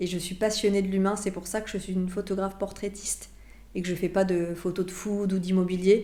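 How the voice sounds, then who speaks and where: A woman speaks at a fairly quick pace in a medium pitch, her dark, mellow tone held in a monotone with flat intonation. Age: 40s. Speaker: portrait photographer. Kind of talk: interview. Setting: photo studio.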